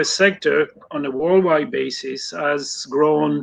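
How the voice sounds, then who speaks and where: The speaker talks very slowly with a French accent. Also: man. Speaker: poultry industry consultant. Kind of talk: live online interview. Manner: hesitant, many fillers.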